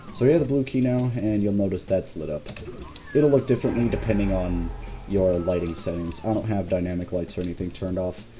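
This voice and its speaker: Very fast talk from a man, with noticeable background noise. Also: ordinary pitch variation. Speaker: game level designer giving commentary. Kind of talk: gameplay walkthrough commentary. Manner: halting, repeats words.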